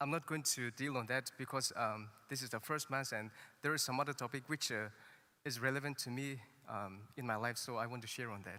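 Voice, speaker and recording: A man talks fairly quickly at a medium pitch. His tone is bright and sharp, with fairly even intonation. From Nagaland, northeast India. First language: a Naga language. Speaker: priest. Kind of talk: sermon. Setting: church. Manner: halting.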